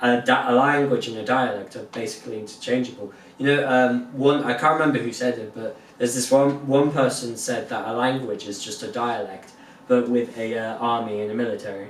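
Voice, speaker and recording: The speech moves at a fairly quick pace with fairly even intonation and big swings in loudness, against noticeable background noise and audible room echo. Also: man, medium pitch for a man. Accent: Southwest England. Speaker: podcast co-host. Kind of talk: casual chat.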